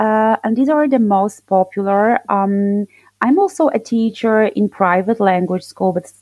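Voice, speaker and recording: A woman with a Polish accent and medium pitch speaks at a moderate pace, the sound dry and close with no echo. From southern Poland. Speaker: English teacher. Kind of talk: interview.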